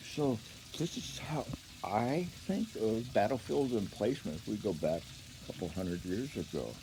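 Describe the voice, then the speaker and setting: With vocal fry and a dark, mellow tone, a man at medium pitch speaks at a moderate pace with very wide pitch swings. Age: 70s. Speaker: karate teacher. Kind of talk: casual monologue to camera. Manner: halting.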